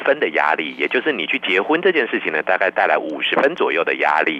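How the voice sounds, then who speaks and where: A man races along at a very fast pace with noticeable background noise behind him. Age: 50s. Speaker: professor. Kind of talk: radio interview. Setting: remote line.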